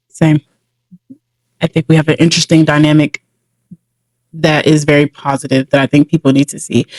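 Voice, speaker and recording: Long, frequent pauses break up this woman's fairly quick pace and monotone, flat intonation. Her very deep, low pitch and American accent come through a dry, close sound with no echo. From Atlanta, US South. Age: 20s. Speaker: podcast co-host. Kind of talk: casual chat.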